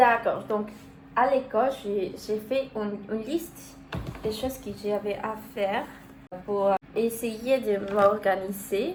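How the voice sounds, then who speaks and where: With long, frequent pauses, a woman with a Spanish accent speaks very slowly in a fairly high voice over noticeable background noise, her pitch varying in an ordinary way. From Mexico. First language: Spanish (speaking French). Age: 19. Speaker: vlogger, university student. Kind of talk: casual vlog talk. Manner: halting, searching for words.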